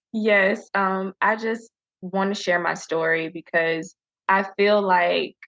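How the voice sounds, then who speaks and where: Delivery is very slow with ordinary pitch variation. The recording sounds dry and close with no echo. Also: woman. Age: young. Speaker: spoken word poet. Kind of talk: interview answer.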